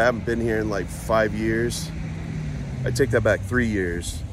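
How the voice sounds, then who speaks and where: A man is speaking in a dry space with no echo. Noticeable background noise runs underneath. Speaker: vlogger. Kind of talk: casual vlog chat. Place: street. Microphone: phone near.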